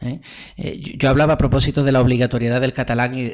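A man's monotone, flat delivery against a quiet background. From Andalusia, Spain. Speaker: development researcher. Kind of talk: casual interview conversation. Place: home room. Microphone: studio mic.

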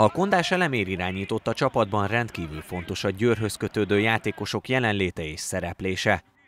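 A man talks at a moderate pace with hardly any pauses, at a fairly low pitch with ordinary pitch variation. The sound is dry and close with no echo, but there is noticeable background noise. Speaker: sports reporter. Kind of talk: scripted narration.

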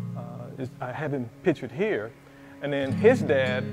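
A man speaks while clear music plays in the background. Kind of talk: interview answer. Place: shop. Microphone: lapel.

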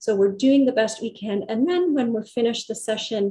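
Against a quiet background, a woman speaks in a somewhat breathy, dark, mellow tone at a fairly high pitch with ordinary pitch variation. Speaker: physiotherapist and yoga therapist; presenter. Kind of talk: guided meditation, calm body-awareness instructions; lecture presentation. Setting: video call presentation. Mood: warm, calm. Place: home room. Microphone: earbuds.

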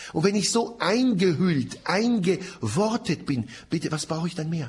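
Animated in tone, a man with a high pitch talks at a fairly slow pace with very wide pitch swings. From Middle East (Israel). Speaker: Bible teacher, seminar lecturer. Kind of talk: lecture. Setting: seminar room with audience, broadcast on radio. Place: studio.

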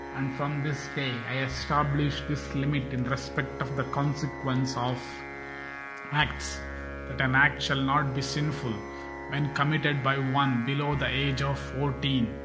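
A man talks at a fairly slow pace with music playing in the background. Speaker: narrator. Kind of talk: scripture reading narration.

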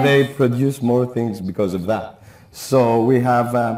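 A man speaks at a fairly slow pace with a Greek accent. The room echo is audible, and the background is quiet. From Greece. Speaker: beekeeper. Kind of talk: live TV shopping presentation. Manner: enthusiastic, conversational. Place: studio. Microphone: lapel.

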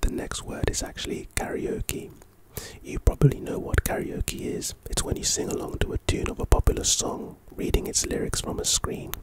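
Someone is whispering over loud background noise. The sound is dry, with no echo. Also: man, moderate pace. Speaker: content creator. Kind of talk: reading an article aloud with casual commentary. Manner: close-mic ASMR whisper. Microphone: studio mic.

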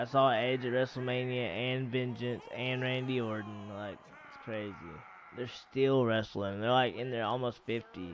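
A man with a plain, everyday voice speaks at a fairly slow pace and medium pitch, with fairly even intonation and big swings in loudness, in a dry sound with no echo over light background noise. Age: 20s. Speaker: gaming streamer. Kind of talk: live gameplay stream chat. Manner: casual, laid-back. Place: home room.

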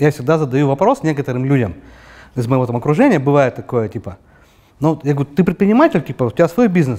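A man's dark, mellow voice at a very fast pace, over a quiet background. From Urals, Russia (Yekaterinburg); Urals, Russia. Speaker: entrepreneur; guest. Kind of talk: interview; interview answer. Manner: hesitant, many fillers. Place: studio. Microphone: lapel.

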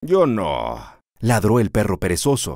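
A man's animated, gentle tone comes through a dry, close sound with no echo in a very clean recording with a silent background. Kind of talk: children's story reading, scripted narration. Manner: animated storyteller, gentle pacing; changes voice for each animal, with a repeated refrain.

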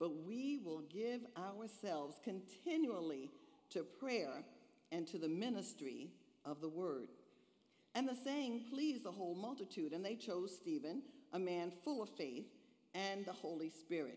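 A dark, mellow voice moves at a fairly slow pace with very wide pitch swings over a quiet background. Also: woman. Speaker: minister. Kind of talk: scripture reading in sermon. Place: church. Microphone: podium.

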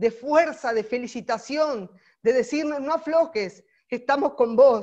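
In a quiet setting, a woman speaks in a high, animated voice. Her pace is fairly slow. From Argentina. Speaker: political volunteer trainer; course trainer. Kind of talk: training lecture; online lecture. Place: home room. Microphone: earbuds.

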